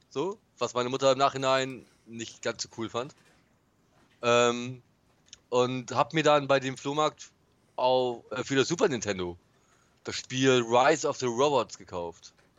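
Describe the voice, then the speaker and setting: A man with a medium pitch talks at a fairly slow pace, leaving long, frequent pauses. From northern Germany, Bremen. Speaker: podcast co-host. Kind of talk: casual chat.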